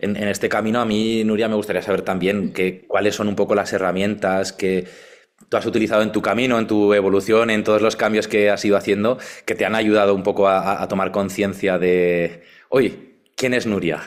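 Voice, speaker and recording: A man talks at a fairly quick pace with fairly low pitch. His intonation is monotone and flat, and his loudness very even. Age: 40s. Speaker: sound therapist and former radio broadcaster. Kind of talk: casual interview.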